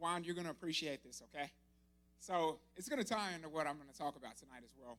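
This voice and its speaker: A man's fairly high-pitched voice at a very fast pace with ordinary pitch variation. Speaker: army officer giving a church talk. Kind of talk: sermon.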